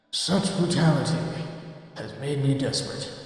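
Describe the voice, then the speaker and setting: A put-on character voice at middle pitch and a moderate pace, with strong echo. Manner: eerie, ghostly.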